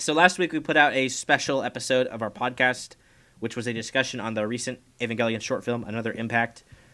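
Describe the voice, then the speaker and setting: A man with a bright, sharp tone at medium pitch, fairly even intonation, fairly quick pace and an American accent. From Kansas, US. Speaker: podcast co-host. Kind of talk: casual chat. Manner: many filler uhs, halting.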